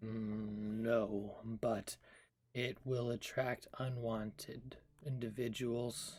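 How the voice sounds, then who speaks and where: A man puts on a character voice at medium pitch, speaking at a very slow pace with monotone, flat intonation. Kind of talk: formal fantasy diction. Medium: actual play. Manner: formal, measured.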